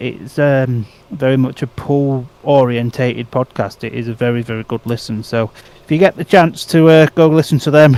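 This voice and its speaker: A man's medium-pitched voice in an English accent, moderate in pace with ordinary pitch variation, amid noticeable background noise. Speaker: speedway podcast co-host. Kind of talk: casual chat watch-along commentary.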